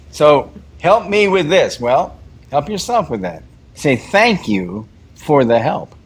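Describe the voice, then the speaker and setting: A man is speaking. His pitch swings very widely. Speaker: meditation teacher. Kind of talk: guided meditation talk. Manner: repetitive, halting.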